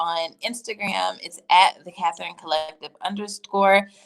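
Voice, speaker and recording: A woman talks in a normal speaking voice with an American accent. Her pace is moderate and her intonation fairly even. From US South (Tennessee). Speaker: career coach and entrepreneur. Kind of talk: casual livestream chat.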